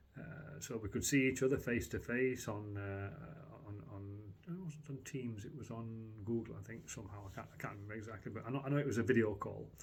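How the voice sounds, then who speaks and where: A man talks at a fairly quick pace in a medium pitch, somewhat breathy, with ordinary pitch variation and big swings in loudness. Audible room echo surrounds his voice. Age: 60s. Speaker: customer giving a product review. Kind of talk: testimonial. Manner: halting, many fillers and restarts.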